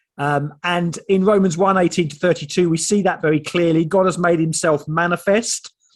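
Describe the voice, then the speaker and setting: A man with an Essex accent speaks at a high pitch and moderate pace. The background is quiet. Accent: Estuary Essex. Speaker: theologian and author. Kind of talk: online seminar talk. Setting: video call.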